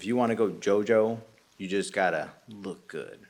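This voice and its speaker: A man speaks in a booming voice with fairly even intonation. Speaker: podcast co-host and video editor. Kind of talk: casual chat. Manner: loud.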